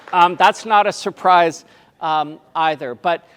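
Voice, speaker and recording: With a Canadian accent, a man speaks at a fairly slow pace in a high voice, on a very clean recording with a silent background. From Canada. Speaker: tourism consultant. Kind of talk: presentation. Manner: halting, many fillers.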